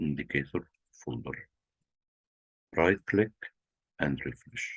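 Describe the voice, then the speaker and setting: Someone with a non-native accent speaks at a fairly slow pace, the sound dry and close with no echo. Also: man. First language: not English. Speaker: trading tutorial presenter. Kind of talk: screen-share tutorial. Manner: halting, with fillers.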